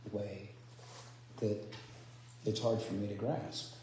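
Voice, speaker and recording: Audible room echo and noticeable background noise surround a man speaking at medium pitch. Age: 60s. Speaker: spiritual speaker. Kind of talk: sermon. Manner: soft-spoken; halting. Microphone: too quiet.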